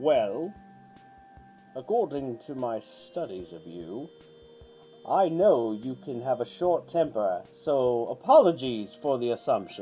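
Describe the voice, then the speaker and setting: A man puts on a character voice at a medium pitch, speaking fairly slowly with long, frequent pauses. Clear music plays in the background. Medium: read story. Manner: composed, self-satisfied.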